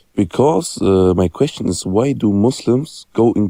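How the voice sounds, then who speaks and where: Very slowly and at a fairly low pitch, a man speaks in a dark, mellow tone, the sound dry and close with no echo. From Germany. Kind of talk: call-in debate.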